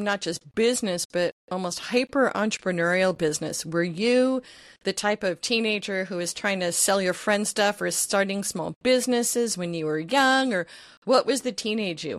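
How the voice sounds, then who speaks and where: A plain, everyday voice from a woman, with ordinary pitch variation and a moderate pace. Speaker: podcast host. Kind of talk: interview. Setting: remote call.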